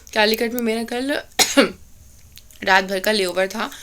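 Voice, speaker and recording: Her tone bright and sharp, a woman speaks at a moderate pace with a fairly high pitch and ordinary pitch variation. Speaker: cabin crew vlogger. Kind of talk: casual vlog. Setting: at home. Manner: code-mixing Hindi and English.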